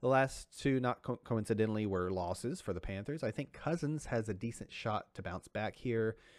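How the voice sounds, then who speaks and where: A man with a plain, everyday voice speaks with lively intonation at a fairly low pitch. The recording is very clean, with a silent background. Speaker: fantasy football podcast co-host. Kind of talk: casual chat.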